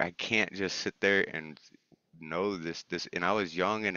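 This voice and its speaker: A man's intonation stays fairly even as he talks at a moderate speed. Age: 40s. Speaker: poet. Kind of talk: poetry reading; casual chat. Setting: open mic event.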